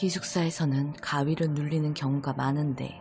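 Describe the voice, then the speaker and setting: Music is playing behind the voice. The talking proceeds at a fairly slow pace. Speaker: horror radio host / storyteller. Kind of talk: horror radio storytelling, calm narration of a ghost story. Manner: steady, measured narration.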